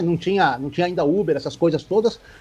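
A man's voice swings very widely in pitch. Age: 50s. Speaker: sports reporter. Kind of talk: casual interview.

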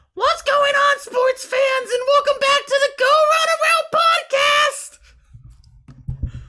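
An extremely high put-on character voice at a fairly slow pace.

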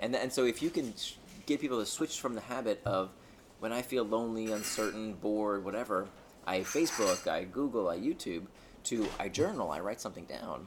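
At a fairly quick pace, a man with an American accent talks in an unremarkable speaking voice, medium in pitch with ordinary pitch variation. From United States. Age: 40s. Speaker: author. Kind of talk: interview. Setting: lunch table.

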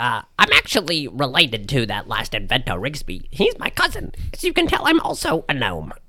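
A man's put-on character voice, fairly high in pitch, at a moderate pace. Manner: chatty, naive, cheerful.

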